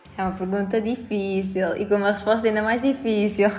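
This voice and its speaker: Noticeable background noise and audible room echo surround a woman speaking with fairly even intonation. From Portugal, Albergaria-a-Velha (Aveiro district). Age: 20s. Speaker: student union president. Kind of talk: interview. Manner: halting, frequent repetitions and fillers.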